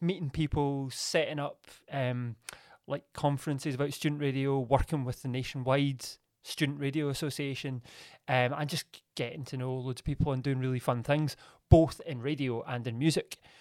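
Fairly high in pitch, a man speaks in a monotone, flat intonation at a moderate pace. The recording is very clean, with a silent background. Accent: Glaswegian. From Scotland, Glasgow. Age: 30s. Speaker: radio presenter and media producer. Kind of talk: casual interview.

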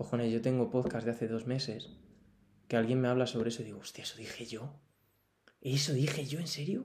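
Pausing long and often, a man talks in a somewhat breathy medium pitch with ordinary pitch variation. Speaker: podcaster. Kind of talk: personal monologue. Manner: animated. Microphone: poor audio.

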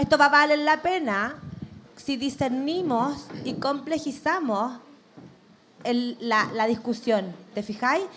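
In a Chilean accent, a high-pitched woman speaks at a very slow pace amid noticeable background noise and audible room echo. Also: ordinary pitch variation. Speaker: media director. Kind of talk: live podcast discussion. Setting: stage with audience.

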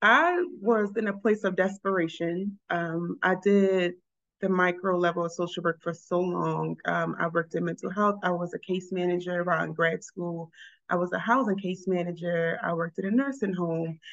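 A woman with an American accent and an ordinary speaking voice, medium in pitch, at a moderate pace with fairly even intonation, against a quiet background. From Baltimore, Maryland. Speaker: social worker, college advisor. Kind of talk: interview.

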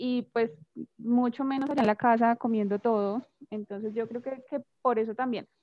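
The intonation here is fairly even. It is an ordinary speaking voice at a moderate pace. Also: woman. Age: 20s. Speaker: English teacher. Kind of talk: casual chat.

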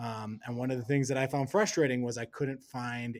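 With an American accent, a man speaks at a medium pitch with fairly even intonation in an unremarkable speaking voice. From US Midwest, Wisconsin. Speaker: NFT research director. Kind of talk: casual interview.

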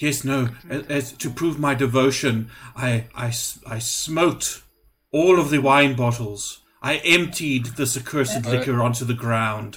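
A raspy put-on character voice moves along at a fairly slow pace. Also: man, medium pitch for a man. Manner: anxious, pleading.

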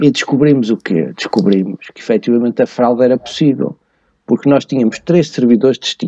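With a dark, mellow tone and lively intonation, a man speaks at a medium pitch and a fairly quick pace, the sound dry and close with no echo. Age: 50s. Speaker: tax and finance expert. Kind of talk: podcast interview. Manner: hesitant, with many fillers.

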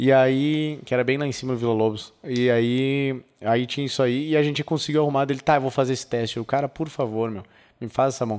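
A man with a plain, everyday voice and medium pitch talks at a fairly quick pace with fairly even intonation. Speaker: gun rights activist. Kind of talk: casual interview.

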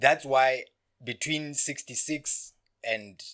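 A man with a Lesotho accent speaks in a bright, sharp tone in a very clean recording with a silent background. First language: Sesotho. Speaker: podcast guest. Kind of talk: casual chat.

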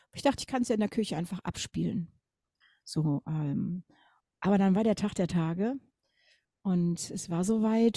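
Somewhat breathy with a dark, mellow tone, a woman speaks with ordinary pitch variation in a dry, close sound with no echo, on a very clean recording with a silent background. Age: 50s. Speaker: grief counsellor and singer. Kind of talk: interview.

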